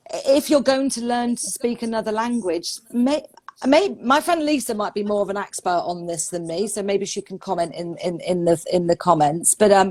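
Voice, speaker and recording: Lively intonation at a moderate pace with hardly any pauses, over noticeable background noise. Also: woman, medium pitch for a woman. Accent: London. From London, England. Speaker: English pronunciation teacher. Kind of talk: casual interview. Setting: Instagram live video call.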